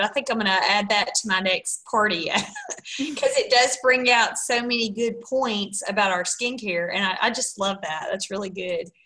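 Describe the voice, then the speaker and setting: Talking at a moderate pace with hardly any pauses, a woman has a fairly high pitch and ordinary pitch variation. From US South, Mississippi. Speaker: sales team leader hosting call. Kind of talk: casual team call. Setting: video call. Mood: warm, upbeat, encouraging. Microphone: webcam.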